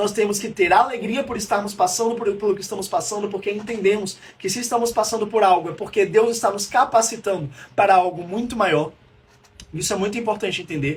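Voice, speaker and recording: An animated man with a high pitch and ordinary pitch variation at a fairly quick pace. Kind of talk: live-streamed teaching talk. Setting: livestream. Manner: fast.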